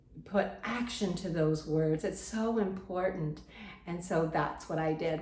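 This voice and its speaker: The woman's pitch varies in an ordinary way. Room echo is audible. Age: 70s. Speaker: lifestyle vlogger. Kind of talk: personal testimony vlog. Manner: conversational, repetitive.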